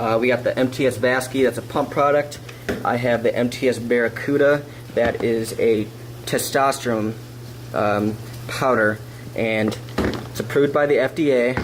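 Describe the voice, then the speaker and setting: Noticeable background noise and audible room echo fill the recording. A man at medium pitch talks with monotone, flat intonation. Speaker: fitness vlogger. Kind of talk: casual vlog talk. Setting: kitchen, then gym.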